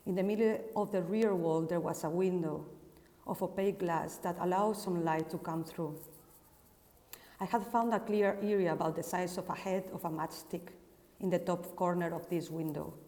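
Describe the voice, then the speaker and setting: A woman speaks at a moderate pace. Her pitch sits fairly low. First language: Spanish. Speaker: architect and researcher. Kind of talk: casual introduction; reading aloud. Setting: Instagram live broadcast.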